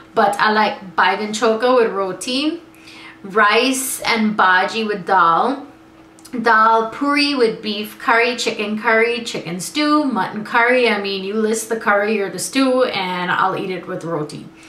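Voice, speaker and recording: Fairly slow speech from a woman with an American accent, fairly high pitch and ordinary pitch variation, with noticeable background noise and audible room echo. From US, born in Guyana. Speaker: vlogger. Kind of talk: casual vlog.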